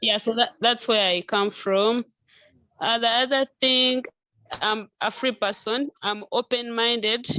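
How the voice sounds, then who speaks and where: A woman with a Ugandan accent speaks at a fairly slow pace, her fairly high voice bright and sharp with fairly even intonation. Her loudness stays very even, and the sound is dry and close with no echo. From Western Uganda, Kiruhura district. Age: 20s. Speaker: author. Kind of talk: interview.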